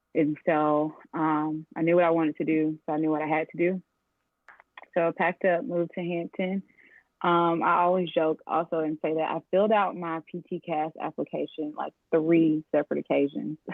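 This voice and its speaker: In a plain, everyday voice, a woman talks at a moderate pace with fairly low pitch and fairly even intonation. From US South, Atlanta, Georgia. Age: 20s. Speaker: physical therapist. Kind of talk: interview. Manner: casual, many filler ums.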